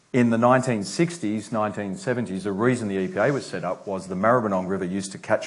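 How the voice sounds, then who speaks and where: In a room with audible echo, a man with an Australian accent speaks at a fairly quick pace in a fairly low voice with ordinary pitch variation. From Australia, Melbourne. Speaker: environment agency chief executive. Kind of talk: conference talk.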